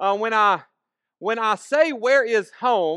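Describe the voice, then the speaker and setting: A man with a Southern US accent speaks at a high pitch in a bright, sharp tone with ordinary pitch variation. The sound is dry and close with no echo, over a quiet background. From US South, northern Alabama and western Tennessee. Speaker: preacher. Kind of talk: sermon. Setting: church with congregation. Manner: casual, conversational with fillers.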